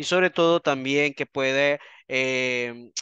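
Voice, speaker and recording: In a dry recording with no echo and a quiet background, a man with a fairly high pitch speaks in a bright, sharp tone with fairly even intonation. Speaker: anthropologist and criminalist lecturer; criminalist lecturer. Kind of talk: online seminar lecture. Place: home room.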